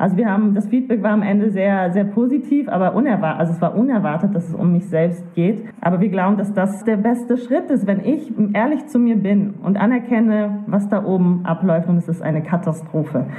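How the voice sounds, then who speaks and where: A woman speaks at a medium pitch and a fairly quick pace, her loudness very even. Noticeable background noise and audible room echo fill the recording. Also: ordinary pitch variation. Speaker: co-founder of a critical thinking association. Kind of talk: interview conversation. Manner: fast.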